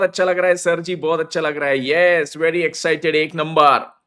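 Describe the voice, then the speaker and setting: A high-pitched man with monotone, flat intonation. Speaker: CA teacher. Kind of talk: live online lecture. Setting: live stream on mobile data.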